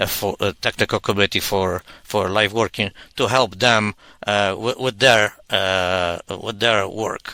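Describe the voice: A man talks in a bright, sharp tone. The sound is dry and close, with no echo.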